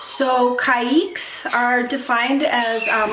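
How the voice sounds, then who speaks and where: Audible room echo and noticeable background noise fill this recording. A woman speaks at a high pitch. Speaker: bird-keeping YouTuber. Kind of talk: casual educational vlog. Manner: casual with filler ums.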